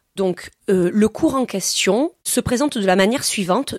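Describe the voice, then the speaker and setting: An ordinary speaking voice moves at a fairly slow pace with ordinary pitch variation, heard in a dry, close sound with no echo. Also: woman. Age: 30s. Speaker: science teacher. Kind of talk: testimony.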